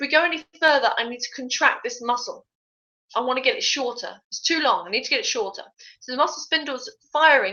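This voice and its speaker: A woman with a British accent talks at a very fast pace. Her pitch is high, with ordinary variation. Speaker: fitness tutor. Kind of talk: live online tutorial. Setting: live stream.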